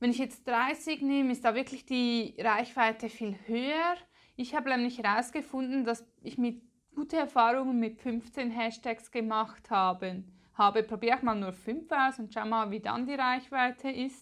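In a Swiss German accent, a woman speaks at a moderate pace with a high pitch and ordinary pitch variation against a quiet background. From Switzerland. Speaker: Pinterest marketing expert, content creator; content creator. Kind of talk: tutorial. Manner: casual, chatty.

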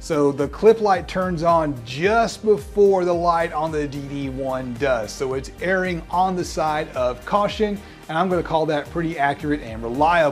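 A man is speaking. Faint music plays behind him. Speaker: audio reviewer. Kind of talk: product review commentary. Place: home room. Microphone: lapel.

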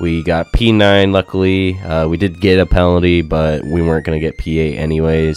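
A man speaks with a very deep, low pitch at a moderate pace. Music plays in the background. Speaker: gaming YouTuber. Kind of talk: gameplay commentary. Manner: casual, hesitant with fillers.

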